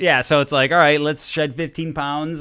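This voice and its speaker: This man speaks in a bright, sharp tone. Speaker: video game developer. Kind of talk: casual chat. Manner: energetic.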